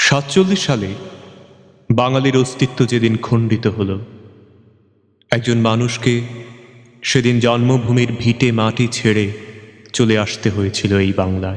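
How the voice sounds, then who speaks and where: Here a man speaks at medium pitch with fairly even intonation. His loudness stays very even. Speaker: recitation artist. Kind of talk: poetry reading.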